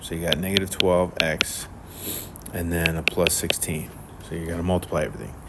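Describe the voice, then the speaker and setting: Over noticeable background noise, a man with a very deep, low voice talks at a fairly quick pace with fairly even intonation and long, frequent pauses. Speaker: math teacher. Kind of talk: tutorial. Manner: casual, many fillers.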